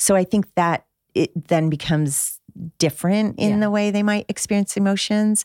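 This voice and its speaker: In an ordinary speaking voice, a woman with an American accent speaks at a medium pitch and moderate pace, with ordinary pitch variation, very even loudness, and a dry, close sound with no echo. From Michigan, outside Detroit. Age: 50s. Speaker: author and mother. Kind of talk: casual chat.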